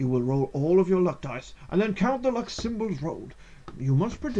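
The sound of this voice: An unforced reading voice carries the passage.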